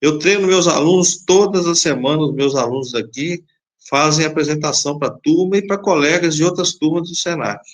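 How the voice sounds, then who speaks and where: Here a man speaks in a normal speaking voice at a moderate pace. His pitch is fairly high, with ordinary variation. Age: 60s. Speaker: safety technician instructor. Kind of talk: live stream interview.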